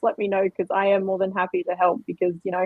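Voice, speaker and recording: A woman with an Australian accent at a fairly quick pace. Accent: thick Australian. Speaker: crypto livestream host. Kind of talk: casual chat. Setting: livestream.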